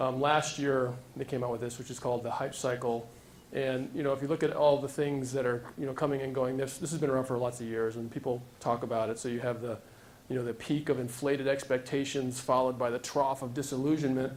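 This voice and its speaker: A man at medium pitch with monotone, flat intonation at a very fast pace, amid audible room echo. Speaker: tech startup founder. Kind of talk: conference talk. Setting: stage with audience.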